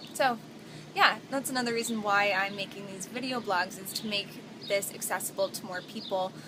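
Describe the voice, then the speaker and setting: Over noticeable background noise, the speech keeps fairly even intonation at a moderate pace, with big swings in loudness and long, frequent pauses. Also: woman. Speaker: barista and vlogger. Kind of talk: vlog.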